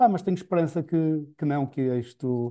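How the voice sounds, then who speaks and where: A man with a European Portuguese accent speaks in a dark, mellow tone against a quiet background. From Portugal. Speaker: podcast interviewer. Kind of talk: interview conversation. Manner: halting. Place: home room. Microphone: earbuds.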